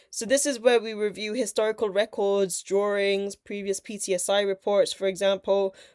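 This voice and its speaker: A woman speaks at a medium pitch in a monotone, flat intonation. The recording is very clean, with a silent background and a dry, close sound with no echo. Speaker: engineering educator. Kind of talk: tutorial. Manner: fast.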